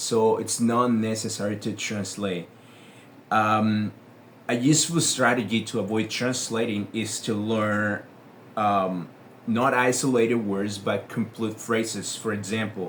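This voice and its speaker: In a room with audible echo, a man with a Spanish accent speaks at a fairly slow pace. His pitch is fairly low and his intonation fairly even. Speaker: English teacher. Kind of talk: tutorial. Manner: hesitant, with many fillers.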